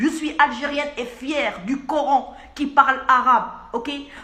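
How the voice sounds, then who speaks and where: Over noticeable background noise, a woman speaks in a raised, projected voice. Her pitch is high. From Algeria. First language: Arabic (speaking French). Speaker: pharmacist. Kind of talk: video message. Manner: insistent.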